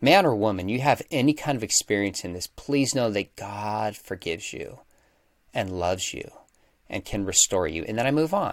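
In a plain, everyday voice, a man speaks at a moderate pace with fairly low pitch and lively intonation, captured on a very clean recording with a silent background. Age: 40s. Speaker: apologetics professor and author. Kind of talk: interview.

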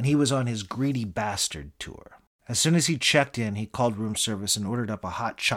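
Someone reads text aloud plainly. Pitch rises and falls in an ordinary way.

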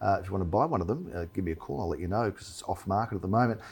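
With an Australian accent, a man speaks in a dark, mellow tone. His voice is somewhat breathy. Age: 40s. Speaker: real estate agent and show host. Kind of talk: casual chat. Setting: studio.

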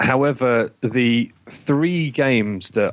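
A man speaks with an English accent and ordinary pitch variation. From UK. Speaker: podcast guest, game company owner.

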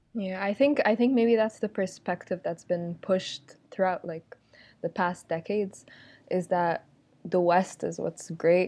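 A woman's dark, mellow voice at medium pitch, fairly slow, with ordinary pitch variation, against a quiet background. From Egypt. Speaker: podcast guest. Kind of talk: casual chat.

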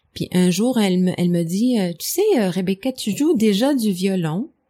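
A woman speaks with an English accent and lively intonation at medium pitch. The recording is very clean, with a silent background. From Montreal, Quebec (anglophone). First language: English (speaking French). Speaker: medieval musician. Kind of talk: interview. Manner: halting, many repetitions.

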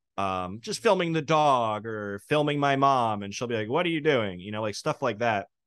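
A man with an American accent and a plain, everyday voice at a medium pitch, at a moderate pace with hardly any pauses, against a quiet background. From New York. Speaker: rapper and producer. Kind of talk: casual interview chat.

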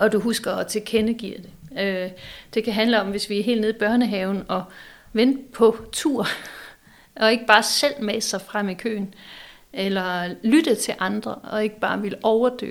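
In a very clean recording with a silent background, a woman with an unremarkable speaking voice talks at a fairly slow pace, her fairly high pitch held to fairly even intonation. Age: 40s. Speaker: psychology professor and design school rector. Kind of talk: casual chat. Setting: office of a publishing house.

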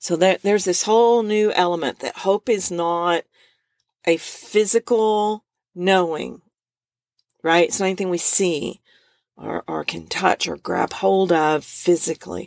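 In a normal speaking voice, a woman talks at a fairly slow pace with a medium pitch and fairly even intonation. The sound is dry and close, with no echo. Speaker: author, speaker and podcast host. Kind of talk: devotional Bible teaching monologue. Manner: casual, with frequent fillers and laughs.

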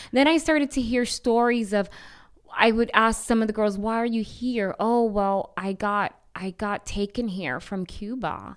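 At a fairly slow pace, a plain, everyday voice shows ordinary pitch variation in a very clean recording with a silent background. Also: woman, fairly high pitch for a woman. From Bronx, New York (Puerto Rican family). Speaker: anti-trafficking missionary. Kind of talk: testimony.

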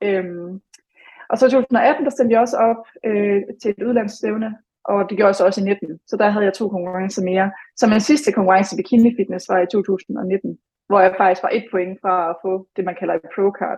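With ordinary pitch variation, a normal speaking voice keeps a moderate pace. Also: woman, medium pitch for a woman. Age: 20s. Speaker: former fitness competitor. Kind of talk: podcast interview.

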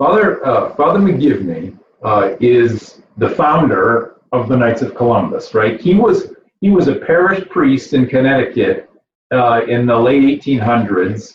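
At a fairly slow pace, a man speaks at a medium pitch, with very wide pitch swings. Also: very even loudness. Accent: Midwestern American. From Michigan, Flint area. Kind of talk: interview. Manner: halting, many repetitions and fillers.

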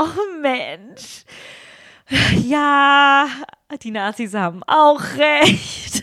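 Using a raised, projected voice with a high pitch and lively intonation, a woman with a non-native accent speaks at a very slow pace with long, frequent pauses. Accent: foreign accent in German. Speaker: podcast co-host, media producer. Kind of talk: casual chat.

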